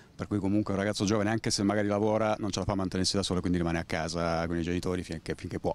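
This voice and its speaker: In a dry sound with no echo, a man talks at a very fast pace with hardly any pauses, his very deep, low pitch held in a monotone, flat intonation. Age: 40s. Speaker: passer-by; interviewee. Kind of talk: street interview. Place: street. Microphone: handheld.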